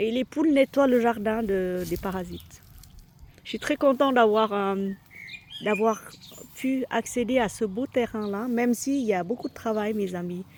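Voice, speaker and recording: The speaker has a Vietnamese accent. Pitch varies in an ordinary way. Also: woman. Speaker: lifestyle vlogger. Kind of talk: casual vlog chat. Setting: outdoors in garden. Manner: halting, many fillers.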